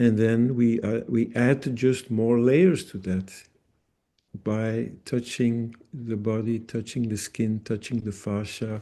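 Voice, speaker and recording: A man speaks at a very slow pace in a medium pitch, his intonation fairly even. His tone is dark and mellow against a quiet background. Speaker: bodywork therapist and trainer. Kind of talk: webinar interview. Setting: video call. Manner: deliberately paced, self-regulating.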